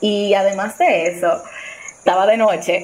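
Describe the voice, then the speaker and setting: A woman speaks over noticeable background noise. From Dominican Republic. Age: 20s. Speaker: storyteller guest. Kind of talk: personal testimony.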